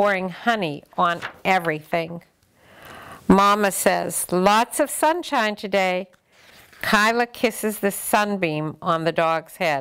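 A woman talks at a very slow pace. The background is quiet. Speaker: grandmother storyteller. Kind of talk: reading a children's book aloud. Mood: gentle and warm. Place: home room.

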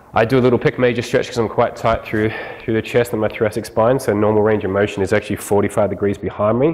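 At a very fast pace, a man talks with a fairly low pitch and fairly even intonation. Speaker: fitness trainer. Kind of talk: tutorial. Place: gym.

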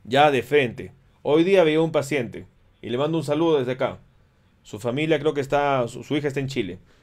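The speaker uses vocal fry and ordinary pitch variation at a fairly quick pace over a quiet background. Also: man, fairly high pitch for a man. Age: 40s. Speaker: physician giving health education. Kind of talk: educational livestream lecture with viewer Q&A. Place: home room.

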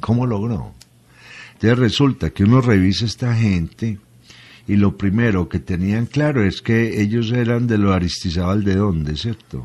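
A man speaks in a plain, everyday voice, fairly low in pitch. His pace is moderate and his pitch variation ordinary. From Colombia. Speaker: professor and radio commentator on history and philosophy; professor, radio commentator on history. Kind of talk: radio talk, philosophical lecture-style answers. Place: studio.

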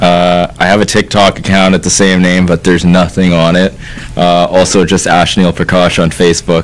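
A man with a Canadian accent, very deep and low in pitch, monotone and flat in intonation, at a moderate pace and very even loudness. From Canada, Ladner, British Columbia; British Columbia. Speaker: podcaster. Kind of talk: casual chat. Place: studio. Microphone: studio mic.

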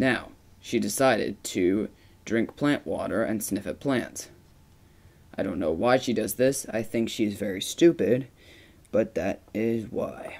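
With long, frequent pauses, a man speaks fairly slowly at medium pitch using lively intonation. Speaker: narrator of a mock cat documentary. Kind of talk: mock nature documentary voiceover about a pet cat. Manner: slow, measured, with repeated emphasis on words like very.

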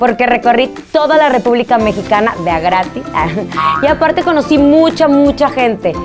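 Clear music runs behind the voice. A woman talks at a moderate speed. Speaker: TV and radio host. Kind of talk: casual talk to camera. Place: studio.

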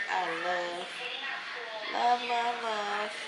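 A woman speaks with ordinary pitch variation. Crowd noise carries in the background. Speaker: lifestyle vlogger. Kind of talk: casual vlog chat. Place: kitchen. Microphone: phone near.

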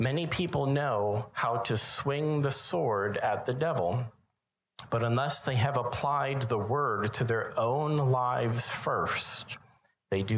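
Speaking very slowly, a man keeps his loudness very even throughout. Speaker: preacher. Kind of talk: sermon. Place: church. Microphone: handheld.

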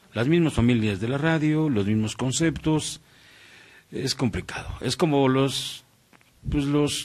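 Speaking at a very slow pace, a man leaves long, frequent pauses. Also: ordinary pitch variation. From Mexico, Morelos; Mexico. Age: 40s. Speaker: radio announcer. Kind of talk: casual interview chat. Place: studio. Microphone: studio mic.

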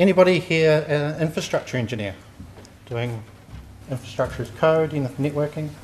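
With a New Zealand accent, a man speaks at a moderate pace and fairly high pitch, his voice somewhat breathy. Pitch varies in an ordinary way, pauses are long and frequent, and light background noise is present. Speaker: software testing engineer; conference presenter. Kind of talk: conference talk. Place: hall. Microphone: handheld.

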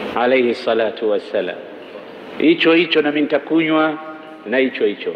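Here a man talks at a moderate pace. There is audible room echo and light background noise. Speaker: religious preacher. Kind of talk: sermon. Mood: warm, smiling. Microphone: handheld.

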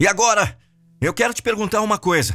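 A man speaks with faint music in the background. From Brazil. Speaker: professional voice-over narrator. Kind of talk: video sales letter narration. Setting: studio. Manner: emphatic, persuasive, high-impact. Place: studio. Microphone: studio mic.

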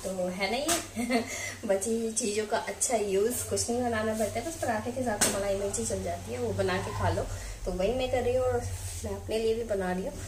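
A woman speaks at a moderate pace with few pauses, her medium pitch showing ordinary variation over clear background noise.

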